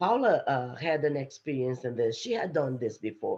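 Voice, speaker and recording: This woman speaks with a strong non-native accent. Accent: heavy foreign. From Brazil. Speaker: STEM executive, panelist. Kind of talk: panel discussion.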